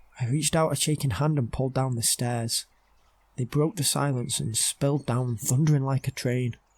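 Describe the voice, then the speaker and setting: A man's medium-pitched, somewhat breathy voice at a moderate pace, fairly even in intonation, in a very clean, dry, close recording with no echo and a silent background. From United Kingdom. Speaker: storyteller. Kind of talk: horror story narration.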